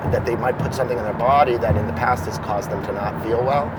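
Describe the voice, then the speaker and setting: Recorded with noticeable background noise and audible room echo, a man speaks with an American accent. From Boston, US. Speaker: former school psychologist, field marketing director. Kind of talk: casual interview.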